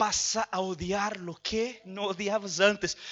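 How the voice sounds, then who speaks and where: A man is speaking. His voice sits high in pitch. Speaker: pastor. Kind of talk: sermon.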